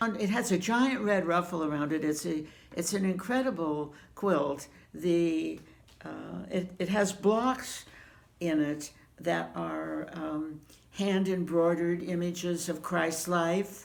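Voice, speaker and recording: Very slowly, a woman speaks at a fairly low pitch with ordinary pitch variation, and room echo is audible around her. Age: 80s+. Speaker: quilter answering viewer questions. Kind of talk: casual chat. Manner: halting, many fillers.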